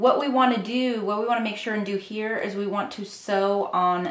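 A woman with fairly even intonation at a moderate pace, with audible room echo. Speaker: sewing instructor. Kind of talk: tutorial. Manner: casual, uses fillers like um. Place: home room.

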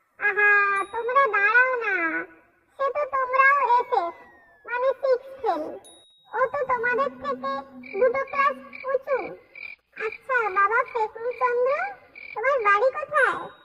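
A cartoonish character voice at an extremely high pitch and a fairly slow pace.

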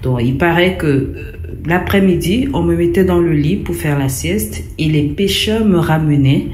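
A woman with a Cameroonian accent speaks at a very slow pace in a very deep, low pitch with very wide pitch swings, amid noticeable background noise. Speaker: storyteller sharing a personal experience. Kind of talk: testimony.

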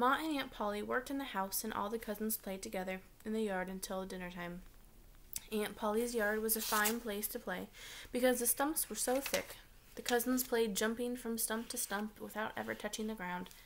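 A woman's fairly quick, fairly evenly intoned speech over noticeable background noise. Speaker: teacher reading aloud. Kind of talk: read-aloud storytelling. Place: home room. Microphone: webcam.

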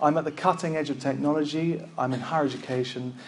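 A man talks with a British accent over light background noise. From UK. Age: 30s. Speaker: librarian and conference speaker. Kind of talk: conference talk. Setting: stage with audience. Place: hall.

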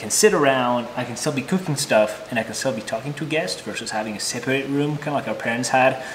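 This is a man speaking. Light background noise can be heard. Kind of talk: casual vlog chat. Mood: relaxed, enthusiastic. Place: kitchen.

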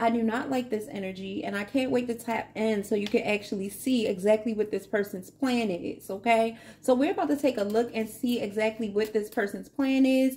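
A woman speaks at a fairly quick pace with hardly any pauses and fairly even intonation. Her voice is somewhat breathy, with a dark, mellow tone. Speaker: tarot reader. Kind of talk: tarot reading monologue. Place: home room.

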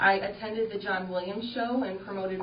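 With audible room echo and noticeable background noise, a woman talks at a moderate pace and medium pitch in a monotone, flat intonation. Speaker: city tourism director. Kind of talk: report to city council. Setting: city council meeting.

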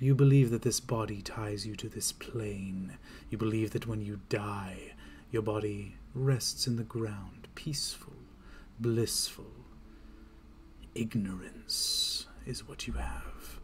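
A man's put-on character voice with a menacing tone, medium pitch, fairly slow pace, and long, frequent pauses, over light background noise. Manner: menacing, condescending.

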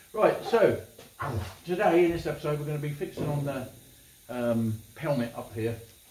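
A man talks over noticeable background noise. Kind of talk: casual vlog chat. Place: workshop. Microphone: camera far.

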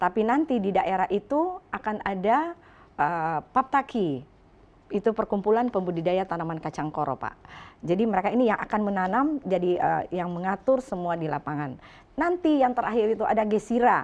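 Very wide pitch swings mark a woman talking at a moderate pace. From Indonesia, North Sulawesi (Manado); North Sulawesi. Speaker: business director and bean farmer; talk show guest. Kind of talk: live talk show interview. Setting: studio. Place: studio. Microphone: lapel.

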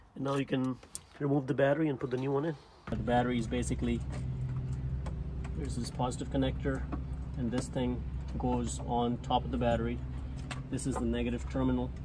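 A man talks at a very fast pace. Noticeable background noise runs underneath. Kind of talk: tutorial. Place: car. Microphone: phone near.

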